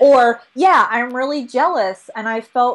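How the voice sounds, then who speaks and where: A woman speaks in a high voice. It sounds squeaky. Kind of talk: casual interview chat. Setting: video recording.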